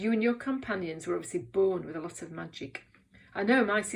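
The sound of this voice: The speaker reads aloud. The voice sounds unforced.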